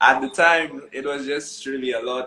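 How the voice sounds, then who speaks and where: In a Saint Lucian accent, a man speaks at a fairly slow pace. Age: young. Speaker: wedding musician. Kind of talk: casual interview chat. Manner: joyful.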